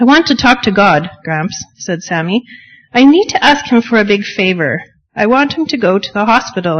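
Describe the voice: The speaker is doing plain reading aloud. There is lively movement in the intonation.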